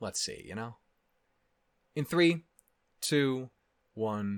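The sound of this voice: Clear, smooth tone at a very slow pace, with lively intonation. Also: man, medium pitch for a man.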